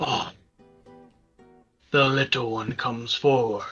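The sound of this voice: Putting on a booming, raspy character voice at a medium pitch, a man speaks at a fairly slow pace as faint music plays in the background.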